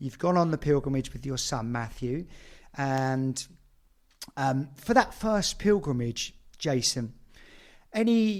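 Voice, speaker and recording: The speech moves at a very slow pace with lively intonation. Long, frequent pauses break it up. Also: man, fairly high pitch for a man. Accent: British. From Britain. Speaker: podcast host. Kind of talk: casual interview.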